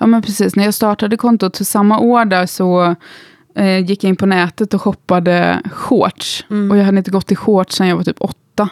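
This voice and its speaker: A woman speaks at a moderate pace in a flat, monotone intonation with very even loudness, and the sound is dry and close with no echo, her pitch medium for a woman. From Gothenburg, Sweden. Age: 30s. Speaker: instagram creator and musician. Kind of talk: casual interview.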